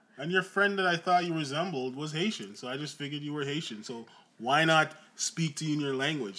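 A man speaks at a fairly quick pace in a bright, sharp tone. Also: fairly high pitch for a man, ordinary pitch variation. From Jamaica (Trelawny), moved to Canada at ten. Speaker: podcast co-host. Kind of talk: casual chat.

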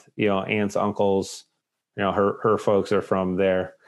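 A man talks in a fairly low voice with monotone, flat intonation. The background is quiet. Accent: American. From New England (Lowell, Massachusetts). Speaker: pastor. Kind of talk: casual chat.

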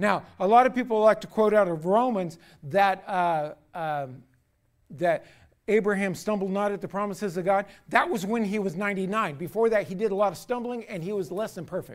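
The man's pitch is high. He moves at a fairly quick pace. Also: ordinary pitch variation. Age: 60s. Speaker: pastor. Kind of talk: sermon. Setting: church. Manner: halting.

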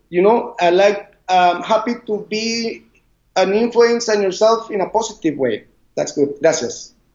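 At a fairly slow pace, a man with a Spanish accent speaks at a high pitch with ordinary pitch variation. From Costa Rica, Caribbean side. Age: 40s. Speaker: surf instructor. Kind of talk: interview. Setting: video call. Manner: halting; loud.

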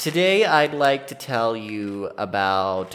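Over music in the background, a man with a fairly low voice speaks very slowly with lively intonation. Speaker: podcast co-host. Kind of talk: storytelling; casual chat. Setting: studio. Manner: soft-spoken.

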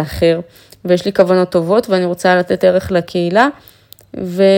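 Her tone is dark and mellow. The woman keeps a moderate pace. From Israel, Afula. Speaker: confidence coach and influencer. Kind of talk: motivational monologue. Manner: animated.

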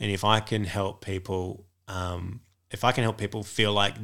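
A man with an Australian accent, fairly low-pitched, in a flat monotone, on a very clean recording with a silent background. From Australia, northwest Sydney. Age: 40s. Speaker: comedian. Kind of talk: casual chat.

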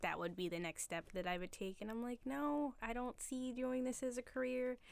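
A woman speaks with a Philadelphia accent and ordinary pitch variation. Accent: Philadelphia-area American. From Philadelphia area, Pennsylvania. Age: 20s. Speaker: barista. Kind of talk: casual chat. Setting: studio with microphones.

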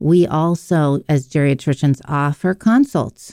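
A woman with an American accent speaks at a very deep, low pitch with a dark, mellow tone and ordinary pitch variation in a dry, close sound with no echo. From Pittsburgh, US. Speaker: geriatrician. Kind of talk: radio interview.

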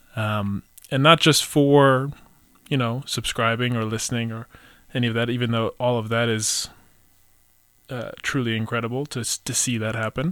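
With fairly even intonation, a man talks at a moderate pace broken by long, frequent pauses. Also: medium pitch for a man.

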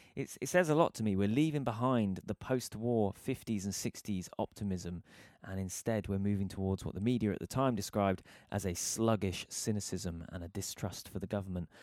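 In a very clean recording with a silent background and a dry, close sound with no echo, a man with a British accent talks at a fairly quick pace, his pitch fairly low with ordinary variation. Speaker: podcast host, guitarist. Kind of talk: casual chat.

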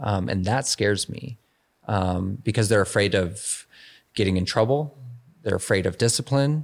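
Over a silent background in a very clean recording, a man speaks at a moderate pace in an unremarkable speaking voice, fairly low in pitch with ordinary pitch variation. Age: 40s. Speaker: police officer. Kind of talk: casual interview conversation. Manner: many filler words (um, you know).

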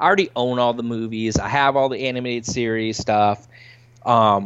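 The delivery has a moderate pace and a normal speaking voice. Pitch rises and falls in an ordinary way. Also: man. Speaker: podcast host guest. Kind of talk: casual podcast chat.

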